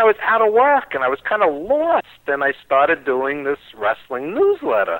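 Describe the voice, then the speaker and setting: A man talks at a moderate pace in a high voice with very wide pitch swings, recorded dry and close with no echo. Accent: New York. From New York. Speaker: wrestling radio host and producer. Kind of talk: interview.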